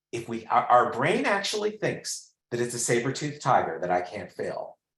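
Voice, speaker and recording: A man with vocal fry speaks at a moderate pace, his pitch swinging very widely. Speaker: well-being expert and executive coach. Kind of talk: interactive webinar presentation. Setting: online webinar.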